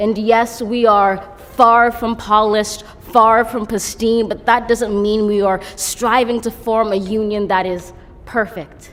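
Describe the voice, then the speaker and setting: Speaking very slowly, a woman keeps a fairly high pitch in a monotone, flat intonation. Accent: American. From United States. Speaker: poet. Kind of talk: poetry reading.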